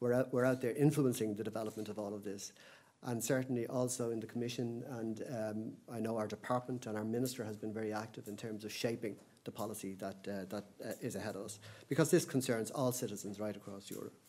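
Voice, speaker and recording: Very fast speech comes from a man. His tone is dark and mellow, his intonation fairly even. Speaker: conference speaker. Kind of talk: lecture. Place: hall. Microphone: podium.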